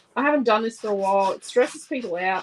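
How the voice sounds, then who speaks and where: A woman with a strong Australian accent speaks at a fairly high pitch with ordinary pitch variation. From Australia, Central Queensland. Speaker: scrapbooking crafter and channel host. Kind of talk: live craft tutorial. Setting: live stream. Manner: casual, chatty.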